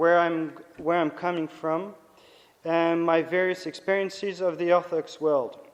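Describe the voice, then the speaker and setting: A man with a French accent speaks at a fairly slow pace. His pitch is high and his intonation fairly even. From France, Nice. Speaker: priest and theology lecturer. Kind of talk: lecture. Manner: halting.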